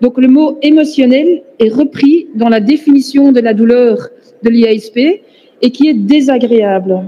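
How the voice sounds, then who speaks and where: A woman's high voice at a very slow pace, with ordinary pitch variation and very even loudness. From Flanders, Belgium (Antwerp). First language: Dutch (speaking French). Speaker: professor, pain researcher. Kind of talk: conference lecture. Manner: hesitant, many fillers.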